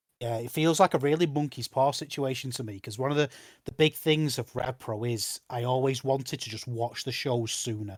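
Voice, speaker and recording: A man with a northern English accent talks at a fairly quick pace and medium pitch with ordinary pitch variation, the sound dry and close with no echo in a very clean recording with a silent background. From northern England. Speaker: wrestling podcast host. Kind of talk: casual chat. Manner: animated.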